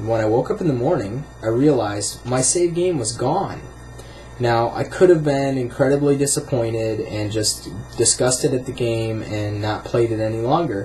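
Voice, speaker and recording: A man with an American accent speaks at a moderate pace and a medium pitch, with ordinary pitch variation. Music plays in the background. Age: 20s. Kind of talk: casual talk to camera.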